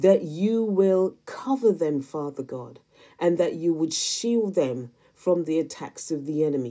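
Against a quiet background, a woman with a dark, mellow tone and lively intonation speaks at a very slow pace. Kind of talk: intercessory prayer spoken aloud for viewers, addressed to God. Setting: solo recorded video. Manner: fervent and pleading, repeatedly invoking Lord and Father God; earnest, repetitive cadence layering parallel phrases. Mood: earnest, fervent. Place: home room. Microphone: phone near.

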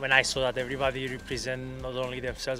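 With clear music in the background, a man talks at a very fast pace, the sound dry with no echo. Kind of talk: interview answer. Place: waterside. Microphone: handheld.

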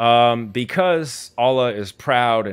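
There is lively intonation in this man's speech. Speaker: livestream host. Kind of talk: lecture-style commentary. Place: home room. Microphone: studio mic.

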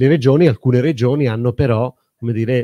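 Dry and close with no echo, a man's dark, mellow voice sits at medium pitch, moving at a moderate pace with fairly even intonation. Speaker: urban planning professor. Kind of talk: panel discussion. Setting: stage with audience. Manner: halting.

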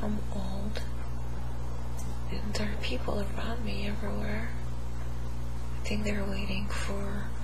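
Over loud background noise, a woman talks at a fairly slow pace with long, frequent pauses. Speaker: hypnosis client. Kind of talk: hypnosis session answers. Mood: emotional, pained at times. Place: home room.

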